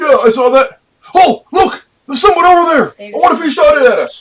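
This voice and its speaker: Putting on a character voice, a man speaks at an extremely high pitch and a fairly quick pace. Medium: actual play.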